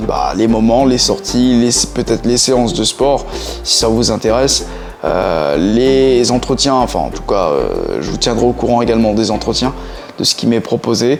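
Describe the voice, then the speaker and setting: With music in the background, a man speaks at a medium pitch and a fairly slow pace, using ordinary pitch variation. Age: 20s. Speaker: vlogger, former gendarme. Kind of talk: vlog monologue. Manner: halting, frequent hesitations.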